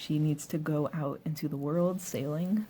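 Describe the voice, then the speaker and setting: A soft-spoken woman with a very deep, low pitch and a dark, mellow tone talks at a fairly slow pace, sounding somewhat breathy. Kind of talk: ASMR soft-spoken show and tell to camera; casual talk to camera.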